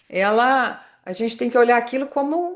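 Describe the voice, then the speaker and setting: A woman with a high pitch at a moderate pace. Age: 60s. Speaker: marketing consultant and motivational speaker. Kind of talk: podcast interview.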